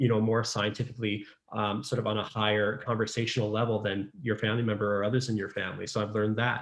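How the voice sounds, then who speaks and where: With a Canadian accent, a man speaks at a very fast pace. His pitch sits in the medium range. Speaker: pediatric resident physician. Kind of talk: casual interview chat. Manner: talkative.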